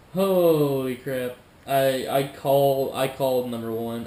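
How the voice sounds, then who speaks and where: Room echo can be heard on this male speaker. Behind him there's noticeable background noise. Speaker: YouTuber reacting to videos. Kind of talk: casual reaction commentary. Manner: halting, stumbling over words.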